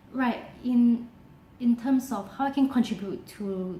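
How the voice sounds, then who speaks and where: Noticeable background noise runs under the recording. A woman talks with fairly even intonation. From Singapore. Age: 20s. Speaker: university student. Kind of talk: application video self-presentation.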